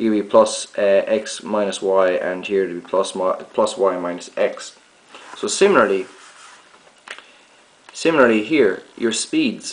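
A man speaks with long, frequent pauses and ordinary pitch variation. Room echo is audible. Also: fairly low pitch for a man, fairly slow pace.

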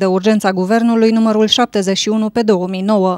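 A woman with a plain, everyday voice, pitched fairly high and spoken with fairly even intonation, recorded dry and close with no echo. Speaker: news reporter. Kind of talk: news reading, scripted report. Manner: formal, even.

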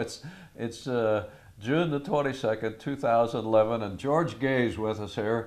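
With ordinary pitch variation, this man talks fairly slowly. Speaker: oral history interviewer. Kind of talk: conversational interview. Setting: filmed interview on camera. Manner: chatty, encouraging, laughs often. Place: home room.

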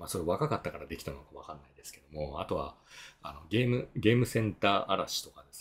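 The speech comes at a very fast pace, with big swings in loudness. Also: man. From Japan, Miyazaki; Japan. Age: 50s. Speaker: tax accountant and efficiency consultant; blogger. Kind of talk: solo video talk; explanatory talk, casual lecture. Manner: casual, filler-heavy. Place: home room.

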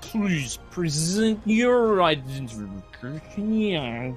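A man puts on a robotic character voice, high pitched, with very wide pitch swings and a very slow pace over clear background music.

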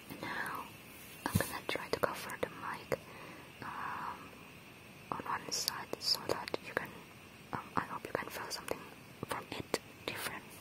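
Whispering at a fairly slow pace, with long, frequent pauses. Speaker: ASMR creator. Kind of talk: ASMR trigger video, soft whispered talk to camera. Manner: soft whisper. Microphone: lapel.

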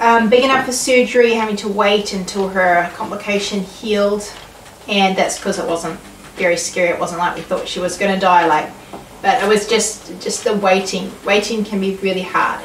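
Someone speaks at a moderate pace with fairly even intonation. Light background noise and audible room echo are present. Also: woman. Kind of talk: casual devotional vlog talk. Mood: calm, reflective, warm. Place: home room. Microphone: camera far.

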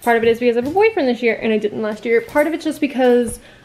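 With music playing in the background, a woman talks using ordinary pitch variation. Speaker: vlogger. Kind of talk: casual vlog chat. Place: home room. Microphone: webcam.

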